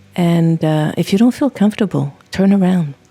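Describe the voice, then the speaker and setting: A woman with a plain, everyday voice speaks at a fairly low pitch and a fairly slow pace, with ordinary pitch variation. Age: 60s. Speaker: travel vlogger and hiker. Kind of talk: scripted narration.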